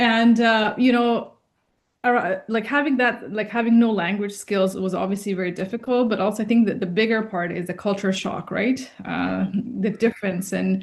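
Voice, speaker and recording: A plain, everyday voice, a woman's, medium in pitch with fairly even intonation. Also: moderate pace. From Afghanistan, raised in Canada from childhood. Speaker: entrepreneur. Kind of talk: interview.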